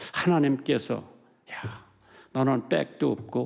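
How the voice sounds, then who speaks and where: Vocal fry from a man at medium pitch, very slow pace, on a very clean recording with a silent background. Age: 80s+. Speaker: pastor. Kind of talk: sermon. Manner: animated.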